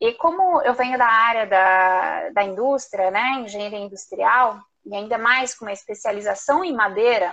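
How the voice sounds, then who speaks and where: The woman's pitch is fairly high, and she talks at a fairly slow pace. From southern Brazil, Curitiba. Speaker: entrepreneur, macaron maker. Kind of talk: live interview.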